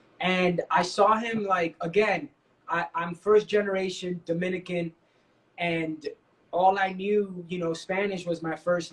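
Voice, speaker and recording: Here a man talks in a high pitch. His intonation stays fairly even. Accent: New York. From New York City, Washington Heights. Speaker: dancer and actor. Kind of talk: interview. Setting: online live stream.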